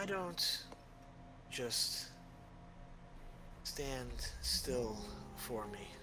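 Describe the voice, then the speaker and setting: A man speaks in a put-on character voice. Loud noise fills the background. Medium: actual play. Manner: smooth, insinuating.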